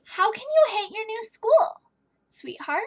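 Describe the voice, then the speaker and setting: A put-on character voice from a woman, squeaky and extremely high-pitched, cheerful in tone, with very wide pitch swings at a fairly slow pace. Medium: read story. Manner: cheerful, firm.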